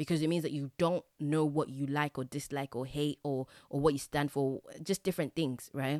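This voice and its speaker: In an English accent, a woman speaks at a moderate pace with a very deep, low pitch, a dark, mellow tone and monotone, flat intonation, recorded dry and close with no echo on a very clean recording with a silent background. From England. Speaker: podcast host. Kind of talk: solo monologue.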